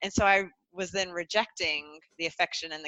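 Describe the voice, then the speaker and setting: A woman speaks with a bright, sharp tone and a Southern US accent, her voice dry and close with no echo. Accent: American Southern. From US South, North Carolina. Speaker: transformational coach. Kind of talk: podcast interview.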